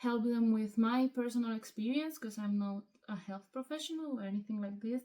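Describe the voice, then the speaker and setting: A woman with a Spanish accent talks at a moderate pace. Her pitch is fairly high and her intonation fairly even. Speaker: hobby vlogger. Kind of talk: casual vlog monologue. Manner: hesitant, many fillers.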